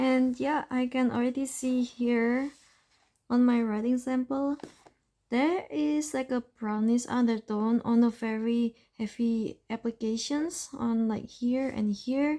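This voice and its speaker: At a very slow pace, a woman with a non-native accent speaks in a high pitch with a dark, mellow tone and ordinary pitch variation. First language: not English. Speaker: fountain pen ink reviewer. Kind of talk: casual chatty swatching tutorial.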